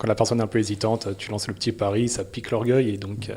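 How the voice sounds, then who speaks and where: The voice is somewhat breathy, with a dark, mellow tone and a very fast pace. The recording is very clean, with a silent background. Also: man. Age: 20s. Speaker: amateur trail runner. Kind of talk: interview. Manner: hesitant, many fillers.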